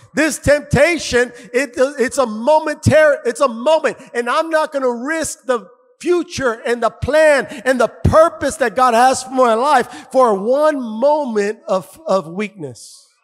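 The tone is animated while the pace stays fairly slow. The background is quiet. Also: man, extremely high pitch for a man, ordinary pitch variation. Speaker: pastor. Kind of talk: sermon. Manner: animated, loud, call-and-response exhortation; fervent, punchy, repeating phrases. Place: church. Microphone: handheld.

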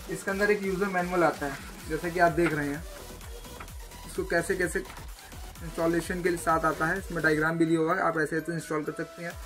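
A high-pitched man's voice, monotone and flat, with long, frequent pauses and clear music in the background. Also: moderate pace. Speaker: product reviewer. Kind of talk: unboxing commentary. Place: shop.

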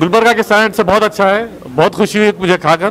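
A man's fairly bright voice at a fast pace, with ordinary pitch variation and faint background noise.

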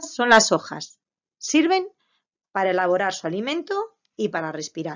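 Her pitch is medium for a woman, with very wide pitch swings. She speaks at a fairly slow pace with big swings in loudness. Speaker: preschool teacher. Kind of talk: lesson for young children.

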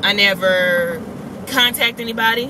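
A woman speaks with ordinary pitch variation in a dry, echo-free sound over noticeable background noise. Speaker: vlogger. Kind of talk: casual vlog chat. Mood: annoyed, venting a gripe. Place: car. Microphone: phone near.

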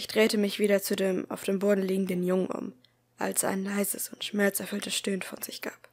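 This is reading aloud in a natural voice. The words are read out, not spoken off the cuff.

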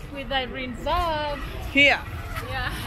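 Over noticeable background noise, a woman speaks in a raised, projected voice at a very slow pace. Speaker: vlogger. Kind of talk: casual vlog chat. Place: street. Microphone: phone near.

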